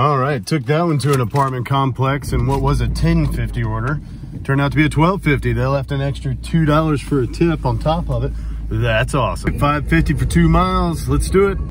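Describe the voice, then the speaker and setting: A man at a fairly quick pace, dry sound with no echo, noticeable background noise behind him. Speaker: delivery driver vlogger. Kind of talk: casual vlog chat. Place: car. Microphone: phone near.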